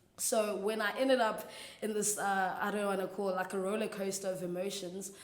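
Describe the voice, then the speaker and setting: A woman talks at a fairly quick pace in a medium pitch with monotone, flat intonation. Audible room echo and noticeable background noise surround her. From South Africa, Eastern Cape (rural). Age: 20s. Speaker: church intern sharing faith story. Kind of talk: testimony. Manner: casual, hesitant with fillers.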